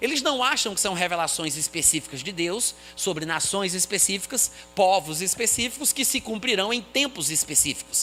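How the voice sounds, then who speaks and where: Over music in the background, a man with a high pitch speaks in a raised, projected voice at a moderate pace, with lively intonation and hardly any pauses. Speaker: Bible teacher. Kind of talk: lecture.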